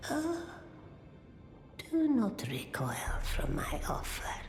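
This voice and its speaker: A female-sounding put-on character voice speaks at a very slow pace with slight echo and clear background noise. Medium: machinima. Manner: slow, cryptic.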